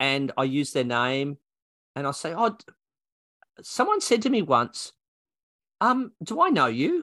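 Using an Australian accent, a man with a bright, sharp, fairly high voice speaks at a fairly slow pace with very wide pitch swings and long, frequent pauses, in a dry, close sound with no echo. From Australia, New South Wales. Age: 60s. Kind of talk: interview. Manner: talkative.

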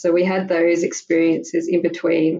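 A woman talks at a moderate pace with an Australian accent. Her pitch is fairly low and her intonation fairly even. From Australia, Melbourne. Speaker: mother sharing her story. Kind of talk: interview testimony. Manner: halting.

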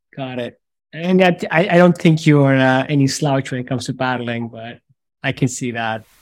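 In a normal speaking voice, this speaker goes at a moderate pace with ordinary pitch variation and big swings in loudness, in a very clean recording with a silent background. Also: man, medium pitch for a man. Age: 40s. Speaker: podcast host.

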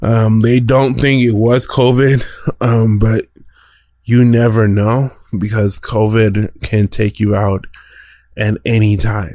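A man with an American accent speaks at a medium pitch in a dark, mellow tone, with very even loudness. His pace is very slow with long, frequent pauses, in a very clean recording with a silent background. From Denver, Colorado, US. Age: 20s. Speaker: podcast host and DJ. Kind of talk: casual solo commentary. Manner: animated.

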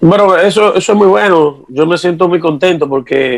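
A man speaks with ordinary pitch variation. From Dominican Republic. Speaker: merengue típico musician. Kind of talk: interview.

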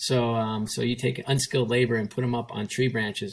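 An unremarkable speaking voice at a fairly quick pace, with fairly even intonation. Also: man. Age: 50s. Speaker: sports executive. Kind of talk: interview. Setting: video call from home kitchen.

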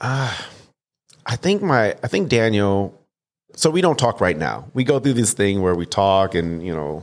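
An unremarkable speaking voice from a man at fairly low pitch and moderate pace, on a very clean recording with a silent background. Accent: American. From Detroit, Michigan. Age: 30s. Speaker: stand-up comedian. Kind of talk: casual interview.

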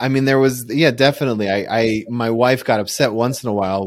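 A man has an ordinary speaking voice at medium pitch with ordinary pitch variation. He talks at a fairly quick pace on a very clean recording with a silent background. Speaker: relationship podcast host. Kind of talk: interview, casual conversation. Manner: chatty, informal.

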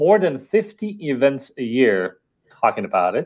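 A man with an Estonian accent speaks at a medium pitch. His pace is fairly slow. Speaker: company founder and CEO. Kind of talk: interview.

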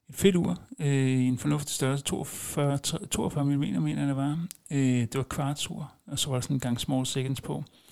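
Fairly high male voice at a fairly slow pace, with ordinary pitch variation. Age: 40s. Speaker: podcast host. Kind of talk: casual monologue. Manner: hesitant, many filler sounds.

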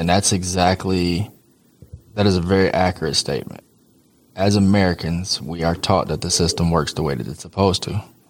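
At a fairly quick pace, a man with a very deep, low pitch speaks with fairly even intonation. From US Midwest, Detroit, Michigan. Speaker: exonerated former prisoner. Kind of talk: interview.

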